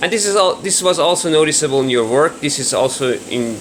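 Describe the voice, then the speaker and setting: Against noticeable background noise, a man with a Persian accent talks at a fairly quick pace and fairly high pitch, with ordinary pitch variation. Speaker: viewer giving feedback. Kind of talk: recorded voice message.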